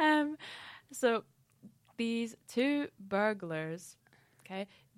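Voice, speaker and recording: In a Scottish accent, a woman with a fairly high voice speaks very slowly, her pitch swinging very widely, in a dry, close sound with no echo. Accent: mild Scottish. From Scottish Highlands. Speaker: podcast host. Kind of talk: casual chat. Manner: hesitant, many fillers.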